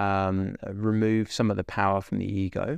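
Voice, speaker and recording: A man with a dry, close sound, no echo and a quiet background. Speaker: podcaster. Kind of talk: sassy meditation rant, blunt and profane, scolding listeners to just meditate; solo monologue, casual reflective talk. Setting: solo recording into microphone. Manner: sassy, blunt, swearing, exasperated but caring; direct, emphatic, repeating for punch.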